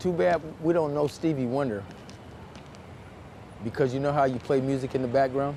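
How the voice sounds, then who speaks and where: A man's fairly high voice at a fairly quick pace, with long, frequent pauses, very even loudness and ordinary pitch variation. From US Midwest, St. Louis, Missouri. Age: 60s. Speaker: formerly incarcerated shoe shiner. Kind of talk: casual chat.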